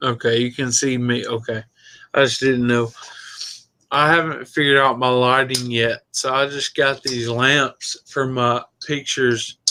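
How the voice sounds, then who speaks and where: A man speaks at a fairly slow pace in a flat monotone. His medium-pitched voice has a bright, sharp tone. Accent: Southern US. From Tennessee. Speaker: viewer joining the livestream. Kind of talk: casual chat. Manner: slurred as talk goes on.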